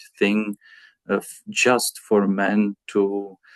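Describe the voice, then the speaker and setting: A man with a Czech accent, in a dry, close sound with no echo. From Czech Republic. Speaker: pastor. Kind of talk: interview. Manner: halting, many fillers.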